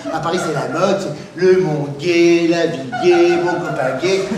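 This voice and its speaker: A man speaks very slowly in a high-pitched voice with fairly even intonation, and noticeable background noise runs underneath. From Northern France. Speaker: comedian. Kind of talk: stand-up comedy routine.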